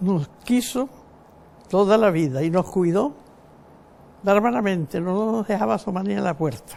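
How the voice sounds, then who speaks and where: Speaking at a fairly slow pace with long, frequent pauses, a woman uses a medium pitch, a dark, mellow tone and lively intonation. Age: 90s. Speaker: elderly woman recounting family history. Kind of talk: oral history interview. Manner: reminiscing, conversational.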